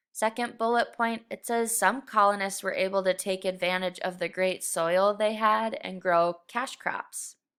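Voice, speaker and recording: A woman has a normal speaking voice and a medium pitch, and she talks at a fairly slow pace with hardly any pauses. Her intonation is fairly even, and the recording is very clean, with a silent background. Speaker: middle school teacher. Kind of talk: recorded lesson. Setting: screen recording.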